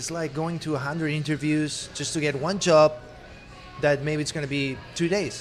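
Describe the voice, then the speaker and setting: Noticeable background noise runs under the recording. A man with a fairly high voice talks at a moderate pace. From Spain. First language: Spanish. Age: 30s. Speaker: actor. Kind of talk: interview.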